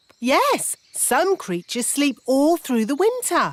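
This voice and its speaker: A cartoonish character voice, female-sounding, high-pitched for a woman, with very wide pitch swings and a fairly slow pace. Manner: blunt, slow on the uptake.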